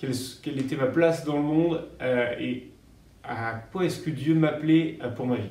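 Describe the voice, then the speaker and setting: Through noticeable background noise and audible room echo, a man with a fairly high pitch speaks at a moderate pace with ordinary pitch variation. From France, Paris region (Yvelines). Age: 30s. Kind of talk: interview. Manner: halting, many hesitations.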